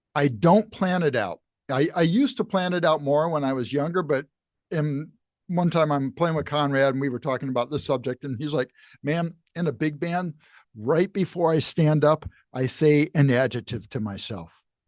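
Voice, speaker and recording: A man speaks in a normal speaking voice at a moderate pace, with a fairly high pitch and ordinary pitch variation. The sound is dry and close with no echo, over a quiet background. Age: 60s. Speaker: university jazz professor and musician. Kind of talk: casual interview chat.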